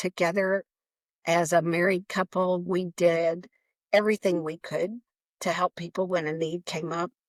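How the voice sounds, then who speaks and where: On a very clean, dry recording with a silent background and no echo, a woman with a fairly low pitch talks at a moderate pace. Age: 60s. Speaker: nonprofit founder. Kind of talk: interview.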